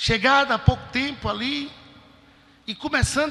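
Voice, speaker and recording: A man with a northeastern Brazilian accent projects his voice at an extremely high pitch, with fairly even intonation and a moderate pace. Noticeable background noise is present. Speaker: preacher. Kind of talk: sermon.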